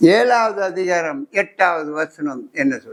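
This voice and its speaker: This man speaks with a high pitch. His pitch swings very widely. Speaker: preacher, church pastor.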